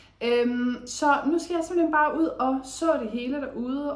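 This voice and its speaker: Talking very slowly, a woman is heard with audible room echo. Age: 20s. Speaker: lifestyle vlogger. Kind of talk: casual vlog talk. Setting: voiceover recorded indoors. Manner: hesitant with many fillers.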